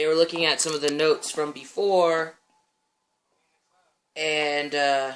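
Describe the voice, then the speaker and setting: Music plays behind a man speaking at a fairly slow pace. His pitch is fairly high and his intonation monotone and flat. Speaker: vlogger. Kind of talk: casual vlog update.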